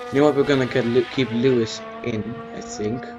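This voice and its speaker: A man speaks with a non-native accent at a medium pitch. There is noticeable background noise. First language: not English. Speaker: gaming YouTuber. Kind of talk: gameplay commentary. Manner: halting.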